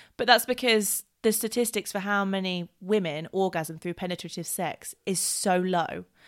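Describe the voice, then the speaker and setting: On a very clean recording with a silent background, a woman talks in a normal speaking voice at a medium pitch. Her pace is moderate, with hardly any pauses. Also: ordinary pitch variation. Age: 20s. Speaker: podcast host. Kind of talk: casual chat.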